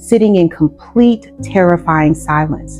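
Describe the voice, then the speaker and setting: Over music in the background, a woman with a very deep, low pitch speaks fairly slowly, with lively intonation. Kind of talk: sermon-style spiritual masterclass talk. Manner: earnest, deliberate, emphatic.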